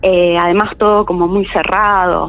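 A woman speaks in a Rioplatense accent. Noticeable background noise is present. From Argentina, Buenos Aires city. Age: 20s. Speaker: caller sharing a paranormal experience. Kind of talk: personal testimony.

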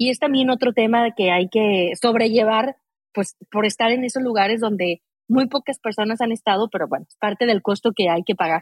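A woman with an unremarkable speaking voice, fairly high in pitch, at a moderate pace with ordinary pitch variation and big swings in loudness. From Mexico, Aguascalientes. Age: 40s. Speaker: mountaineer. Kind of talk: interview conversation.

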